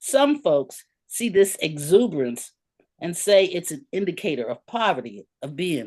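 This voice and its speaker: A woman with medium pitch and vocal fry makes very wide pitch swings. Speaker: essayist and teacher. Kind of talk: reading aloud. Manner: loud.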